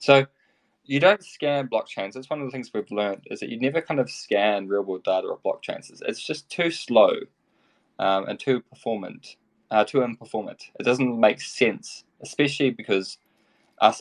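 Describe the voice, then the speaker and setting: With a New Zealand accent, a man speaks at a moderate pace, his loudness swinging widely, in a dry, close sound with no echo. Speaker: tech company executive. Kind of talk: interview. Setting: online audio room. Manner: mumbling.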